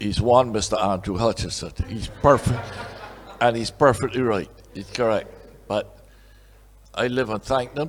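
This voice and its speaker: There is noticeable background noise as a man talks at a moderate pace, with long, frequent pauses. His pitch is medium and his intonation fairly even. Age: 80s+. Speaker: honorary award recipient, businessman. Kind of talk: acceptance speech. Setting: awards dinner.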